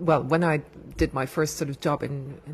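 A somewhat breathy woman with a German accent and a very deep, low pitch, at a moderate pace with fairly even intonation. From Germany. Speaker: motorsport PR director. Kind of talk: casual interview. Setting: public area.

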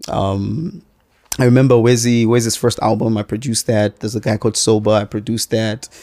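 Very fast and fairly even in intonation, a man's voice carries a dark, mellow tone. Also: medium pitch for a man. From Zambia, Kitwe (Copperbelt). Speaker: TV producer and music producer. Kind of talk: casual interview chat.

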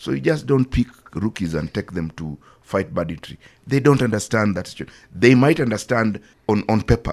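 A man's fairly low voice with vocal fry and very wide pitch swings, at a moderate pace. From Kenya. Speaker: security journalist. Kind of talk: casual chat.

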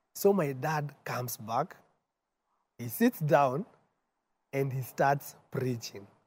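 Somewhat breathy and fairly high-pitched, a man talks very slowly with long, frequent pauses and ordinary pitch variation. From Kenya, Nairobi. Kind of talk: testimony. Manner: mixes English and Swahili.

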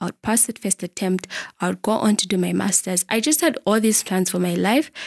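Recorded very cleanly with a silent background and a dry, close sound with no echo, the voice has vocal fry, ordinary pitch variation and a moderate pace. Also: woman. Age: 20s. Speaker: podcast host, lawyer and academic. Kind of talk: solo podcast monologue, faith-based talk.

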